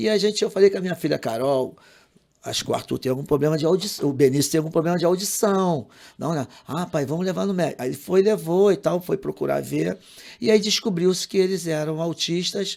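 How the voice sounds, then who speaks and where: This man's voice is high in pitch. The background is silent in a very clean recording. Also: ordinary pitch variation. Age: 60s. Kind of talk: podcast interview. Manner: halting, repeats words.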